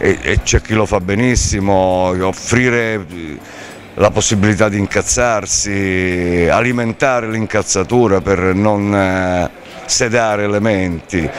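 A man's fairly low voice at a very slow pace, fairly even in intonation, over light background noise. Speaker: interviewee. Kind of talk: interview answer. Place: hall. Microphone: handheld.

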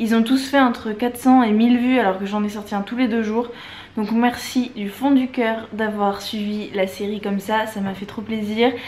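There is light background noise as a woman speaks at a fairly slow pace. Her fairly high voice is monotone and flat. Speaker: travel vlogger; vlogger. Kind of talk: vlog to camera. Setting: airport and airplane while travelling. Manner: casual, chatty. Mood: warm, grateful, chatty. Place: home room. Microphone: phone near.

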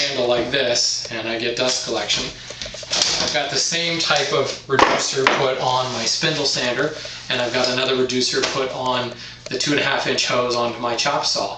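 A man speaks at a fairly slow pace with fairly even intonation. Room echo is audible.

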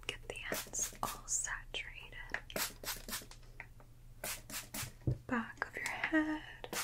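A woman whispers at a very slow pace with a gentle tone. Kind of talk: soft-spoken role-play, addressing the viewer as a client. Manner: soft-spoken, gentle close-mic ASMR voice. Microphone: studio mic.

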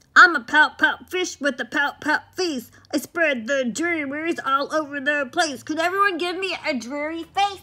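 A high-pitched, put-on character voice that runs on with hardly any pauses. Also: moderate pace. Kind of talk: children's picture-book read-aloud. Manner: playful, sing-song.

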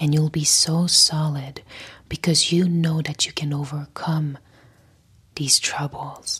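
Against a quiet background, a woman talks at a very slow pace in a very deep, low pitch with monotone, flat intonation. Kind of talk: motivational talk to camera. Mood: soft, calm, soothing. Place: home room. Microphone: lapel.

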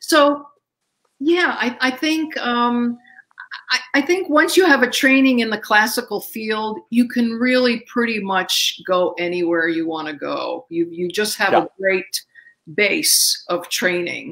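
A woman's fairly high voice in an American accent, fairly slow, with very wide pitch swings, against a quiet background. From US, Slovak American family. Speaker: Broadway singer and actress; actress. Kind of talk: casual interview chat. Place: home room.

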